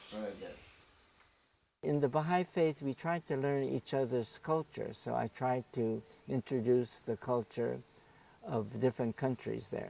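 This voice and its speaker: With an American accent, a man speaks at a moderate pace and medium pitch in a dark, mellow tone with ordinary pitch variation, leaving long, frequent pauses, the sound dry and close with no echo. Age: 80s+. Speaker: religious volunteer. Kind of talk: interview.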